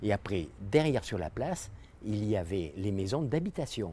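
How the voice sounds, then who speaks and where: On a very clean recording with a silent background, a man with a fairly low pitch and a dark, mellow tone talks at a moderate pace with lively intonation. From France, Dordogne (Terrasson). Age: 70s. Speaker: local resident recalling the past. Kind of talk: interview reminiscence.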